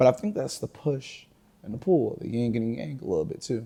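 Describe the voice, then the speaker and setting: Somewhat breathy, a man speaks at a fairly quick pace and a medium pitch. His tone is dark and mellow. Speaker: podcast guest, barber's client friend. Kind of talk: casual chat. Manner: fast.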